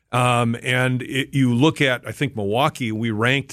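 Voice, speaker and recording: This is a plain, everyday voice with an American accent, moving at a moderate pace. The intonation stays fairly even against a quiet background. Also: man. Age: 60s. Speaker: business association advisor. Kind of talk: radio interview. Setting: studio.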